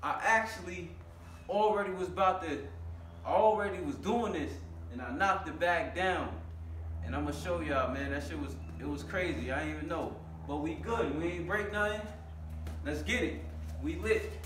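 A man speaks at a moderate pace with long, frequent pauses, and noticeable background noise is present. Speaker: fitness vlogger. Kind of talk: casual vlog chat. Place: gym. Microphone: camera far.

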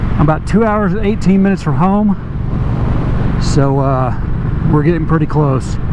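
Noticeable background noise surrounds a man's voice. He speaks at a moderate pace, with ordinary pitch variation. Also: dry sound with no echo. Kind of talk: casual vlog chat. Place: motorbike.

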